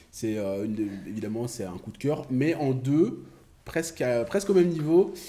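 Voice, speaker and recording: Dark and mellow in tone, a man of medium pitch speaks at a moderate pace with very wide pitch swings and big swings in loudness. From Belgium (born Kinshasa, Congo). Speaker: comedian. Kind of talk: casual chat.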